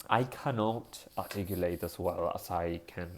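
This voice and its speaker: The pitch is very deep and low. It belongs to a man. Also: very clean recording, silent background. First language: Spanish. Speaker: vlogger. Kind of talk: casual monologue vlog. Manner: halting, with fillers and self-corrections.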